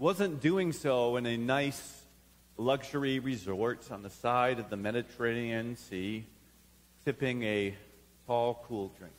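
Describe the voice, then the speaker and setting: Lively in intonation, a man speaks at a fairly slow pace. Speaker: preacher. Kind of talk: sermon. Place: church.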